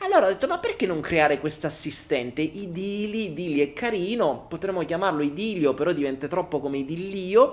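With an animated tone and hardly any pauses, a man talks at a fairly quick pace in a high pitch, with ordinary pitch variation. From Italy. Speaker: online content creator and entrepreneur. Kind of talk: live stream monologue. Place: home room. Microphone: handheld.

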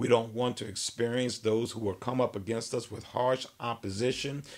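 Here a man is speaking. His pace is moderate. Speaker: minister. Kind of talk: sermon. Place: office.

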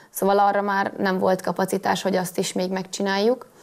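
A woman's monotone, flat delivery with vocal fry against a quiet background. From Hungary. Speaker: cross-country skier. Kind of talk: TV studio interview. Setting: TV studio. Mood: calm, hopeful. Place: studio. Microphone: lapel.

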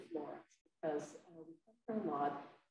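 A woman speaks in a dark, mellow tone. Light background noise and audible room echo are present. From Hawaii. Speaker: poet and English professor; poet, English professor. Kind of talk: lecture with poetry reading. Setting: library event with audience. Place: hall.

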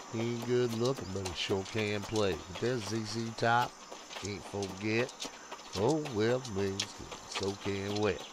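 The speech moves at a very slow pace with fairly even intonation. The sound is dry with no echo, and there is noticeable background noise. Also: man, fairly low pitch for a man. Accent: Tennessee. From Tennessee. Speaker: gaming streamer. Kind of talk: live gameplay stream chat. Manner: casual, rambling with fillers. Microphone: headset.

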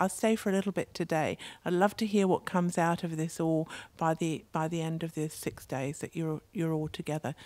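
With an English accent, a woman speaks at a moderate pace in a fairly low pitch, her intonation fairly even and the sound dry with no echo. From England, London. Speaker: mayor. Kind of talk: opening speech. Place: tent. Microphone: handheld.

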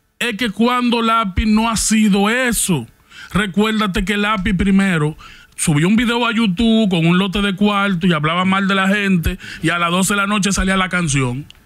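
Against a quiet background, a man with a high pitch talks at a moderate pace, with ordinary pitch variation and very even loudness. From Dominican Republic. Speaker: podcast co-host. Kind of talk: casual chat. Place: studio. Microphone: studio mic.

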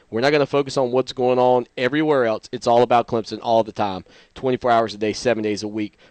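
A man's fast speech, slightly mellow in tone, with fairly even intonation and a dry, close sound free of echo. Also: medium pitch for a man.

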